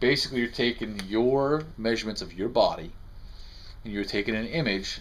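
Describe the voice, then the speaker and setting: Light background noise runs under a man speaking with ordinary pitch variation. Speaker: costume prop maker. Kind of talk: tutorial. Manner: fast; halting. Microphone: phone near.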